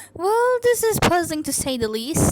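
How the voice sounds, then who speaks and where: A woman's squeaky, put-on character voice, extremely high in pitch, at a moderate pace, with very wide pitch swings. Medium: solo performance. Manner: excitable.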